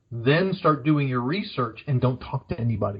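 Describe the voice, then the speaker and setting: Somewhat breathy, a man speaks at a moderate pace and fairly high pitch. His pitch swings very widely. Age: 60s. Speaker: career coach. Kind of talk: podcast interview.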